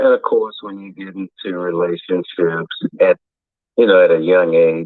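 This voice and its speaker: A man talks at a moderate pace. His volume rises and falls by large amounts. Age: 60s. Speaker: caller. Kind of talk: casual chat.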